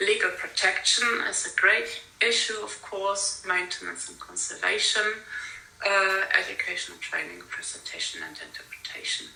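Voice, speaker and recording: A woman with a non-native accent speaks at a moderate pace, her loudness swinging widely, amid audible room echo and noticeable background noise. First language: not English. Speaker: conference speaker on industrial heritage. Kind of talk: conference talk. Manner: halting, many fillers.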